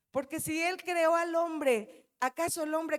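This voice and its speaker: Her tone is animated, a woman at a high pitch with ordinary pitch variation, captured in a dry, close sound with no echo. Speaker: pastor. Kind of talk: sermon. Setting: church.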